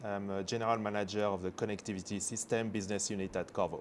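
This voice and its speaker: A man with a French accent at a very fast pace, fairly low in pitch, with ordinary pitch variation. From France. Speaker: semiconductor executive. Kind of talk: interview. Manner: halting, many fillers.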